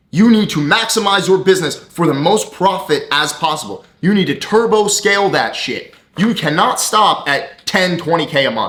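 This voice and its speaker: Loud shouting at a moderate pace, with ordinary pitch variation and hardly any pauses. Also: man, high pitch for a man. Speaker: business coach and entrepreneur. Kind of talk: motivational rant to camera. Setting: talking to camera. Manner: loud, yelling; animated.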